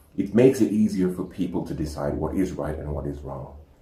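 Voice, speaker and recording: Somewhat breathy and very deep, a man's dark, mellow voice moves at a fairly quick pace with lively intonation. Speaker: Islamic educational presenter. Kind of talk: educational talk. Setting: home recording with animal sounds in background.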